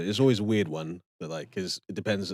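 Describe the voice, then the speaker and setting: At a moderate pace, a man speaks with a very deep, low pitch, dry and close with no echo, on a very clean recording with a silent background. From Cardiff, Wales and Nigeria. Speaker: musician and lyric-writing show co-host. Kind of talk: casual chat. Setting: live stream. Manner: animated.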